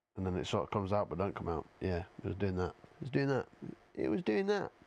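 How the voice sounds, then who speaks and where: A man speaks in a fairly low voice with a strong Yorkshire accent and lively intonation. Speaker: gaming streamer. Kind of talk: casual live-stream chat.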